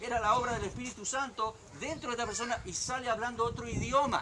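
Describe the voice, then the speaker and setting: A man talks in a raised, projected voice at an extremely high pitch, his tone animated. He keeps a moderate pace over noticeable background noise. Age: 60s. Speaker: pastor. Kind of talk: sermon.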